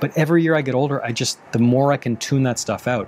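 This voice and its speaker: Over noticeable background noise, a man speaks at a fairly quick pace. His intonation stays fairly even. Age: 30s. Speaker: relationship coach and podcast host. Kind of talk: advice Q&A monologue.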